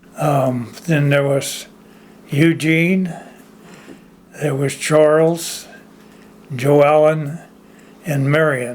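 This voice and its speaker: Speaking at a very slow pace with long, frequent pauses, a man with a fairly high pitch keeps his intonation fairly even amid noticeable background noise and audible room echo. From Orangevale, California (moved from Oklahoma as a child). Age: 90s. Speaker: oral history interviewee. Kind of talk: oral history interview. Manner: halting, many fillers.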